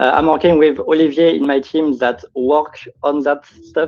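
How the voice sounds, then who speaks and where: A fairly high-pitched man's voice with a French accent. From France. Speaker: game startup founder. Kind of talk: pitch Q&A. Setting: live stage show. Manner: halting.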